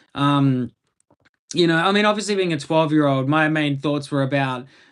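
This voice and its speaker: Over a quiet background, a man with a strong Australian accent talks at a moderate pace with a fairly high pitch and ordinary pitch variation. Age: 20s. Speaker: live streamer. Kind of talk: casual chat. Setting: live stream. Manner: halting.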